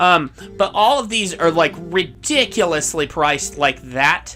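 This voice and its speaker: A man speaks in a high pitch with lively intonation. Music plays in the background. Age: 30s. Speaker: gaming video creator. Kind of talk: let's play commentary. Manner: casual, hesitant with fillers.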